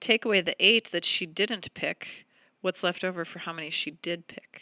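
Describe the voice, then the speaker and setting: In a dry, close recording with no echo and a silent, very clean background, a woman at medium pitch talks at a moderate pace with a bright, sharp tone. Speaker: elementary school teacher. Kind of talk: tutorial.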